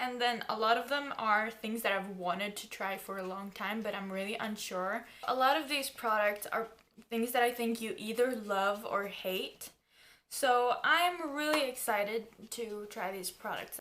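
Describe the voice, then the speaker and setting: With a bright, sharp tone and fairly high pitch, a woman speaks at a fairly slow pace with ordinary pitch variation. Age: young. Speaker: YouTuber. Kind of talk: casual talk to camera.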